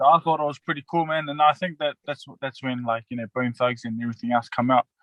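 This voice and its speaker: Speaking at a very fast pace, a man with a slight Australian accent uses a fairly high pitch and ordinary pitch variation. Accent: Australian tinge. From New Zealand, West Auckland. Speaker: professional rugby league player. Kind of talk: casual interview. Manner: halting, many fillers.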